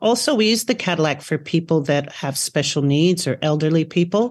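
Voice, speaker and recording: Against a quiet background, a woman with a normal speaking voice and an American accent talks at a moderate pace, with a fairly low pitch and ordinary pitch variation. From US, New York City. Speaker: Pilates teacher. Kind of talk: interview.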